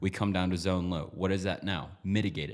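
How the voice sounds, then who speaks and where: A man talks at a moderate speed with a fairly low pitch. His is an unremarkable speaking voice. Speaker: trading educator. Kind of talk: tutorial.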